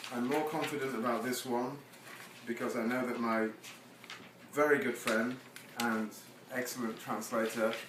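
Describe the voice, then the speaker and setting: A man's medium-pitched, monotone voice with flat intonation, long, frequent pauses and noticeable background noise. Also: moderate pace. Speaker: poet. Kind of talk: casual talk to audience between poems.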